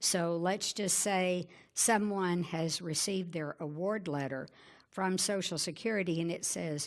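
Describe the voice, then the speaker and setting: A woman's fairly low voice with a Southern US accent, ordinary pitch variation and a fairly slow pace, in a very clean recording with a silent background. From Arkansas. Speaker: Medicare insurance advisor and radio host. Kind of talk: presentation. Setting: conference talk with audience.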